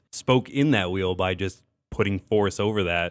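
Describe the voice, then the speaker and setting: A man talks in a fairly low register, keeping his delivery at a moderate speed. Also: dry, close sound with no echo, very clean recording, silent background. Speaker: radio host / on-air personality. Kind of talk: two-host radio conversation about a TV show. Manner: conversational, animated.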